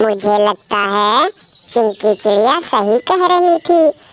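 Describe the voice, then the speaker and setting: A woman performs a cartoonish character voice at a fairly slow pace. The sound is dry and close, with no echo. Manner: earnest, emotional.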